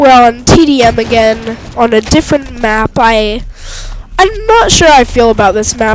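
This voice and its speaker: A woman talks at a moderate pace and a fairly high pitch with music in the background. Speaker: gaming commentator. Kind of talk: let's play gameplay commentary.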